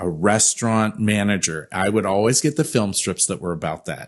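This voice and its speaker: Against a quiet background, a man with a normal speaking voice talks at a moderate pace and a fairly low pitch. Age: 50s. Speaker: events company CEO. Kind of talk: interview.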